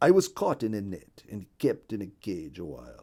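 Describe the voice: Putting on a character voice, a man speaks at a fairly low pitch with very wide pitch swings, a dark, mellow tone and a slightly husky edge. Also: moderate pace.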